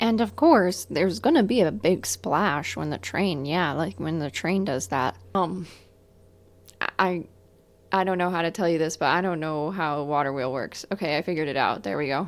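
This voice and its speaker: A woman with a fairly low pitch and vocal fry speaks at a moderate pace with lively intonation, on a very clean recording with a silent background. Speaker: gaming YouTuber. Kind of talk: gameplay commentary. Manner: casual, joking.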